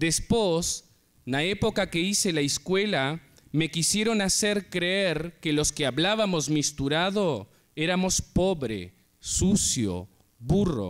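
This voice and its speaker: Over a very clean recording with a silent background, a man speaks at a very slow pace with a high pitch and lively intonation. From Uruguay, Artigas (Brazil border). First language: Portuñol (Spanish-Portuguese mix) (speaking Spanish). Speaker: writer. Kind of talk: conference talk.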